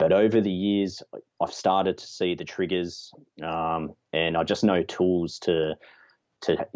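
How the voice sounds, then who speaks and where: A man with an Australian accent speaks at a fairly slow pace in a very deep, low voice, his intonation flat and monotone while his loudness swings widely. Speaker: landscape photographer. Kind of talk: casual chat.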